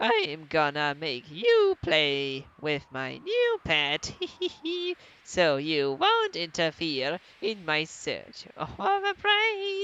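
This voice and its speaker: Putting on a character voice, a woman talks at a very slow pace. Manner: menacing, scheming.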